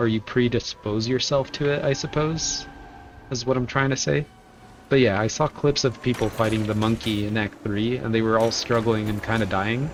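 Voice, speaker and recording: With music in the background, a man talks at a moderate pace and medium pitch, with ordinary pitch variation. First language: Spanish. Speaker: video game streamer. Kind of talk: casual chat while gaming. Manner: halting.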